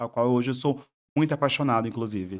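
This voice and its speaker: This very clean recording, with a silent background, features a man with a Bahian accent. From southern Bahia, Brazil. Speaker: psychologist. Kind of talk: podcast interview. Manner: halting, many repetitions.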